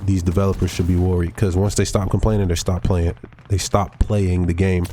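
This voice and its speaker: A man's very deep, low voice with ordinary pitch variation and noticeable background noise. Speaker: gaming youtuber. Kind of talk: casual gameplay commentary.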